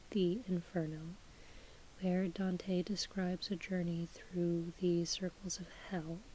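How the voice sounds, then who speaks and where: The speaker is soft-spoken, with a calm tone and a very slow pace. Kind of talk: casual talk to camera. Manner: soft-spoken, calm.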